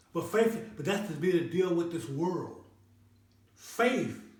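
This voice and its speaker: A high-pitched man's voice at a fairly slow pace, with lively intonation and audible room echo. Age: 60s. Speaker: health and wellness channel host. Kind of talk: motivational talk. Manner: repetitive, stammering restarts; preachy, sermon-like.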